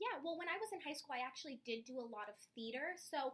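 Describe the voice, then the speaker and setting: A woman speaks loudly in a bubbly tone. She goes at a very fast pace. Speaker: job applicant, preschool teacher. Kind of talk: job interview. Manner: loud, bubbly.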